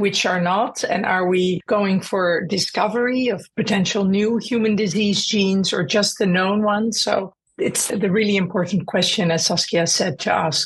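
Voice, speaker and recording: A woman speaks with an unremarkable speaking voice at a moderate pace. Her intonation is fairly even, her loudness very even, and she hardly pauses. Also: medium pitch for a woman. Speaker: clinician researcher. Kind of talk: expert interview.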